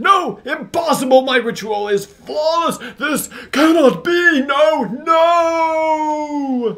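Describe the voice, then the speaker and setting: A man puts on a character voice. His pitch is extremely high and his pace very slow. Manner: over-the-top, theatrical, panicked.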